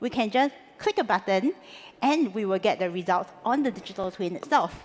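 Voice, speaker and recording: This woman speaks with a Singaporean accent at a moderate pace. Her voice is fairly high-pitched, with lively intonation. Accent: Singlish. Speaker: conference speaker. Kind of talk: conference talk. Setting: stage with audience.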